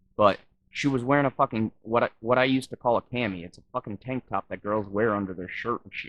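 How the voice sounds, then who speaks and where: A man with an American accent talks at a fairly quick pace with ordinary pitch variation, in an unremarkable speaking voice. The sound is dry and close, with no echo. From Wisconsin. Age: 30s. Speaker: YouTube reaction vlogger. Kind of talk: reaction commentary.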